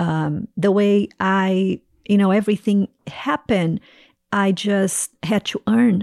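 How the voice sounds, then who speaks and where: The recording is very clean, with a silent background and a dry, close sound with no echo. A woman speaks with a Portuguese accent. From Brazil. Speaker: ministry leader. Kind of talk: interview testimony.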